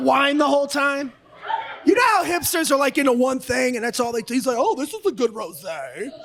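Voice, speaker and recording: With noticeable noise behind him, a man speaks at a fairly quick pace. His voice is extremely high, with lively intonation. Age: 50s. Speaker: comedian. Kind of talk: stand-up. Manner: aggressive-sounding, forceful; halting, self-correcting.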